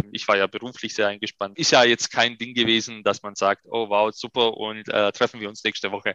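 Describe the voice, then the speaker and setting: Recorded with a dry, close sound and no echo, a man speaks at a moderate pace with a medium pitch and a bright, sharp tone. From Upper Swabia, Germany (Ehingen an der Donau). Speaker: restaurateur. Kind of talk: interview conversation.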